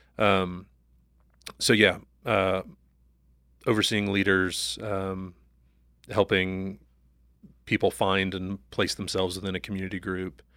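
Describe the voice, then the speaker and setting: With a very deep, low voice and a bright, sharp tone, a man talks at a fairly slow pace in a flat monotone, leaving long, frequent pauses in a very clean recording with a silent background. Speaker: new church staff member. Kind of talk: casual interview chat.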